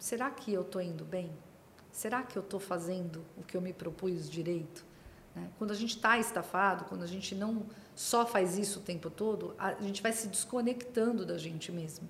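The voice is somewhat breathy, with ordinary pitch variation and a moderate pace. Room echo is audible. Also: woman, medium pitch for a woman. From Brazil, Santos (São Paulo coast). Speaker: pharma consultancy CEO. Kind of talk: interview conversation.

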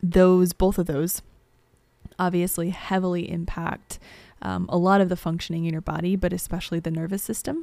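In a Midwestern American accent, a woman with a dark, mellow tone speaks at a fairly low pitch and moderate pace. Her intonation is monotone and flat, broken by long, frequent pauses. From US Midwest, southern Illinois near St. Louis. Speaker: podcast host, astrologer and healer. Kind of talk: personal storytelling monologue. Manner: frequent filler words and hesitations.

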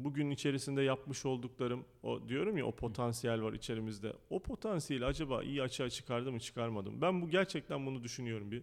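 Speaking at a fairly quick pace, a man has an unremarkable speaking voice. His medium pitch shows ordinary variation. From Turkey. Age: 30s. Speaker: school founder and educator. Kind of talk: interview.

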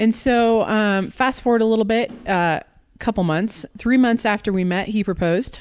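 With a General American accent, a woman uses a plain, everyday voice, fairly high in pitch, at a moderate pace with ordinary pitch variation. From US Pacific Northwest, Portland, Oregon. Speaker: mother of four, podcast guest. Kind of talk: casual chat.

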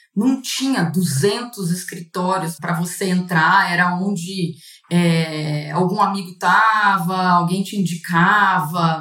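Very slow yet with hardly any pauses, a woman speaks at a medium pitch with fairly even intonation. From interior of São Paulo state, Brazil. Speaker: corporate lawyer. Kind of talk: casual interview.

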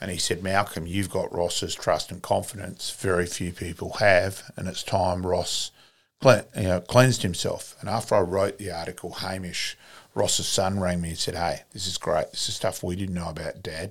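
Speaking in a South Australian accent, a man has a very deep, low pitch and monotone, flat intonation. His pace is moderate, and the recording is very clean with a silent background. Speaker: sports club volunteer and author. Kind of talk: casual interview storytelling. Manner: chatty, storytelling.

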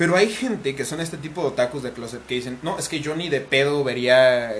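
With noticeable background noise behind him, a man with a fairly high pitch talks at a fairly quick pace and ordinary pitch variation. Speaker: podcast host and content creator. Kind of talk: casual chat.

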